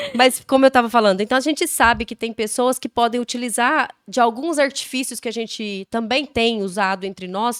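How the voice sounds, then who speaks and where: With hardly any pauses, a woman speaks at a high pitch and moderate pace, with ordinary pitch variation in a dry, close sound with no echo. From Brazil, Goiás. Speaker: podcast co-host, mother. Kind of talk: casual chat.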